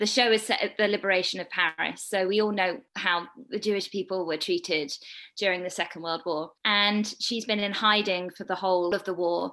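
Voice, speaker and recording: A woman with a British accent speaks in a bright, sharp tone against a quiet background. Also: medium pitch for a woman, fairly even intonation, fairly quick pace. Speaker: dancer and actor. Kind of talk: interview.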